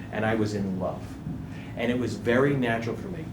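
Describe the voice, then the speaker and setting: Noticeable background noise and audible room echo fill the clip. Within it, a man talks with ordinary pitch variation. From New England, US. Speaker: guest speaker on marketing. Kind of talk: workshop talk. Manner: animated.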